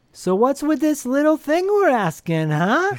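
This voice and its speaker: High, put-on character voice with very wide pitch swings, at a moderate pace. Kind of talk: mystical, theatrical.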